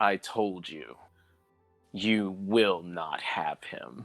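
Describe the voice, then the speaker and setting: A put-on character voice at a very slow pace, with faint music in the background. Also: man, fairly low pitch for a man. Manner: cold, defiant.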